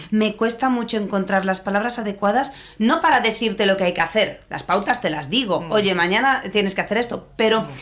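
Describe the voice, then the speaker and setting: Speaking with an Andalusian accent, a woman moves at a fairly quick pace with hardly any pauses, her fairly high pitch showing ordinary variation over noticeable background noise. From Andalusia, Spain. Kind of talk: live interviews with students. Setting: in-person event with audience.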